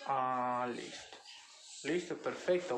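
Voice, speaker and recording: Echo from the room is audible around the man. His intonation stays fairly even. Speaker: student interviewer. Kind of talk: family interview for a class assignment.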